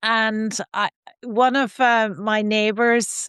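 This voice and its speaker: A woman speaks with an Irish accent in a fairly high pitch and monotone, flat intonation. The background is quiet and the sound is dry and close, with no echo. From Ireland, Donegal island. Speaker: sustainability scientist. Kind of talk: interview conversation.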